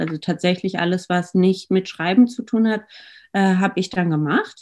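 Her tone is dark and mellow. The woman keeps a moderate pace. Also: quiet background. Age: 30s. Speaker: marketing agency co-founder. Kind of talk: interview.

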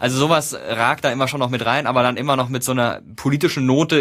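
A man's medium-pitched voice at a very fast pace, with monotone, flat intonation. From Baden-Württemberg, Karlsruhe. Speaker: YouTuber and TV presenter. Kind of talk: casual interview.

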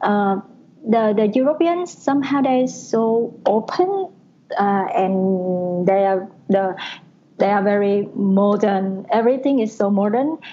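A woman with a Vietnamese accent speaks at a very slow pace and very even loudness. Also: medium pitch for a woman, ordinary pitch variation. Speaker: advertising planner. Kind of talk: casual chat. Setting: call. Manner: halting.

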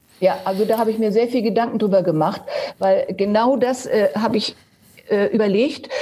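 A woman's fairly high voice over noticeable background noise. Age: 70s. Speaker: retired dance teacher and former world champion dancer. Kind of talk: interview. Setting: video call from home.

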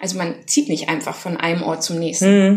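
Noticeable background noise sits under this recording. A woman speaks with fairly even intonation. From Germany. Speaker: travelling parent and co-living organiser. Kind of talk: interview. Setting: outdoors by a pool and the sea. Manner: hesitant, many fillers.

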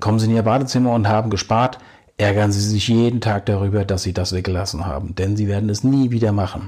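In a very clean recording with a silent background, a man talks at a very fast pace in a fairly low, somewhat breathy voice. His tone is dark and mellow, and his intonation stays fairly even. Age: 50s. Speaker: podcast host, bathroom renovation advisor. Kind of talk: informational monologue addressing listeners. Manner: formal.

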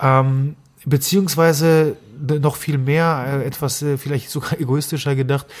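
A man speaks at a very slow pace, his voice fairly high in pitch and somewhat breathy. His intonation is monotone and flat, and the recording is very clean with a silent background. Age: 30s. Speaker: nutrition scientist and podcast host. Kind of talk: interview conversation. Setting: sitting at a table in person. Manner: frequent filler hesitations.

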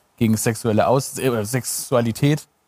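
A man at medium pitch in a normal speaking voice, with fairly even intonation. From Stuttgart, Germany. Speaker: comedian and TV presenter. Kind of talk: casual chat.

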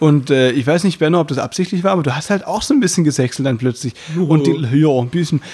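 Speaking at a very fast pace, a man has a fairly high pitch, ordinary pitch variation, a dark, mellow tone and a somewhat breathy sound. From Baden, southern Germany. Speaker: variety artist and podcast host. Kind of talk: casual chat.

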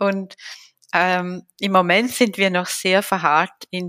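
A woman talks at a very slow pace in a medium pitch with a bright, sharp tone. Her intonation is monotone and flat, and the sound is dry and close with no echo. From Switzerland. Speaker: diversity researcher. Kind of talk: interview.

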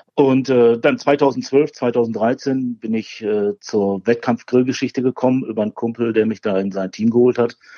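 With a plain, everyday voice, a man speaks fairly slowly at a medium pitch, his intonation fairly even and hardly any pauses. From Ruhr area, Germany (Bochum). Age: 40s. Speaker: barbecue champion and former carpenter. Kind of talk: casual interview.

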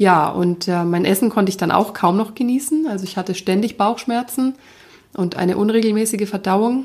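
A woman with an ordinary speaking voice talks at a moderate pace, medium pitch and ordinary pitch variation. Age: 30s. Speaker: podcast host and life coach. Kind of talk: personal monologue.

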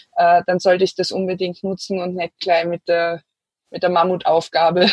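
The delivery is monotone and flat, with a dry, close sound that has no echo. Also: woman. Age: 30s. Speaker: environmental activist. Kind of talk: interview.

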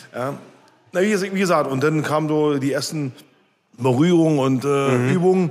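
A man's fairly high-pitched voice carries audible room echo. He leaves long, frequent pauses. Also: ordinary pitch variation, moderate pace. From East Berlin, Germany. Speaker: punk band musician. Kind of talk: casual interview. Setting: bar.

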